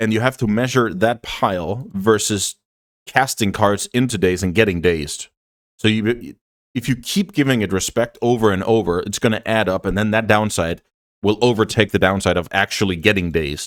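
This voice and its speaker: In a non-native accent, a man speaks with a fairly low pitch and ordinary pitch variation, in a dry, close sound with no echo. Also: moderate pace. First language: not English. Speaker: Magic: The Gathering content creator. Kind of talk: gameplay commentary. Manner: casual, thinking aloud with fillers.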